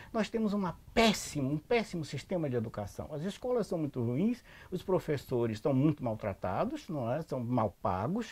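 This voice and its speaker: A man with a fairly high, somewhat breathy voice speaks at a moderate pace with hardly any pauses. His pitch swings very widely. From Salvador, Bahia, Brazil. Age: 70s. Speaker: anthropologist. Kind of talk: interview. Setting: at his home.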